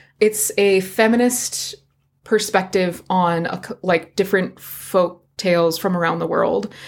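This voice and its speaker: An ordinary speaking voice with fairly even intonation. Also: woman, medium pitch for a woman, fairly slow pace. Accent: American. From Virginia, US. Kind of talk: casual chat and storytelling. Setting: home recording with cat.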